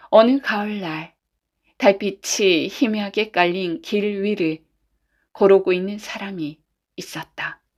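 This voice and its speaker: At a very slow pace, a woman with medium pitch and ordinary pitch variation speaks in a very clean recording with a silent background. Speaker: voice actor. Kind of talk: bedtime folk tale reading. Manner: soft-spoken, calm.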